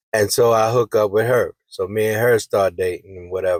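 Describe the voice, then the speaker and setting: Recorded dry and close with no echo, a man talks in a fairly low pitch with monotone, flat intonation. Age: 60s. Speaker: vlogger, singer. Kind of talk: storytelling monologue. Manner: casual, conversational.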